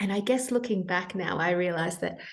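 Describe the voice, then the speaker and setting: Speaking with an Australian accent, a woman talks at a fairly quick pace. Her pitch is medium, with ordinary variation. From Australia (Sydney), born in Peru. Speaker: health coach. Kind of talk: interview, personal story.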